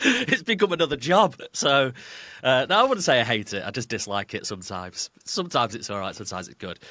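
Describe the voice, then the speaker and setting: Talking at a very fast pace with a northern English accent, a man with a medium pitch and a bright, sharp tone makes very wide pitch swings and big swings in loudness, in a very clean recording with a silent background. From northern England. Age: 30s. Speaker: football fan guest. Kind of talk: casual chat.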